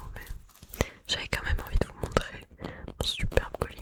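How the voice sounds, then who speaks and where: A woman is whispering. Her tone is relaxed. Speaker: ASMR content creator. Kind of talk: casual talk to camera, ASMR whisper-style intro. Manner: soft-spoken, relaxed, chatty.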